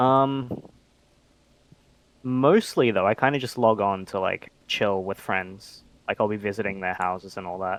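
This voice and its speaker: Speaking fairly slowly with long, frequent pauses, a man with an Australian accent and a fairly low pitch is heard on a very clean recording with a silent background. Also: ordinary pitch variation. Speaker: online game player. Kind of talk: casual interview chat.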